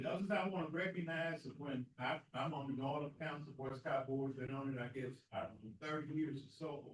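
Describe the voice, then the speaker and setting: Someone with a Southern US accent talks at a moderate pace. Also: man. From US South, grew up near the school. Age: 70s. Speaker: community leader and speaker at veterans event. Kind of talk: speech at a Veterans Day ceremony. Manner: halting.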